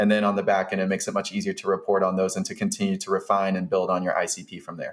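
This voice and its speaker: A man talks at a very fast pace with an American accent. The background is quiet. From Atlanta, US South; Georgia. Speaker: software founder, former freight broker; podcast guest. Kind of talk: interview, business talk. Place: home room. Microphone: studio mic.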